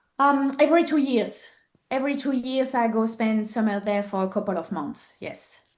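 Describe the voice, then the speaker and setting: A woman with a French accent talks at a moderate pace in a fairly high voice. Her intonation is lively. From southern France. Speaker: podcast guest, mother and entrepreneur. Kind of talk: interview.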